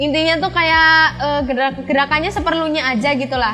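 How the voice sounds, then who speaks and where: A woman talks very fast in a shrill, high pitch, with audible room echo and noticeable background noise. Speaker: school channel host. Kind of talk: tutorial. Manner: casual, filler-heavy; loud at times.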